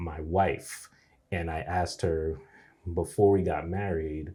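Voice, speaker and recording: A man's very deep, low voice, somewhat breathy, with fairly even intonation. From New York City. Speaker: person who stutters. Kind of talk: interview. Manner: halting.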